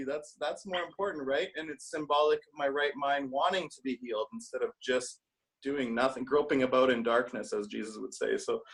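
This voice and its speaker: A man with a Canadian accent and an unremarkable speaking voice talks at a fairly quick pace, his fairly high pitch carried by lively intonation. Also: big swings in loudness. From Canada. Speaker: study group member. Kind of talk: casual chat. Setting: video call.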